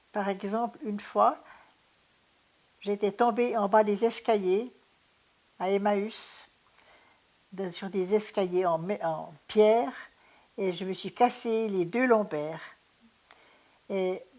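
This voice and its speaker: A woman speaks at a very slow pace with ordinary pitch variation and long, frequent pauses. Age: 80s+. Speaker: retired pediatric nurse. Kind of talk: testimony. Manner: halting.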